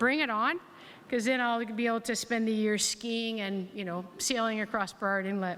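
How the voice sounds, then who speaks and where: Here is a woman with a normal speaking voice and a Canadian accent. She speaks at a moderate pace with a fairly high pitch and ordinary pitch variation. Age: 60s. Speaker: health authority board chair and physician. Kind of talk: keynote speech. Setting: hall with audience.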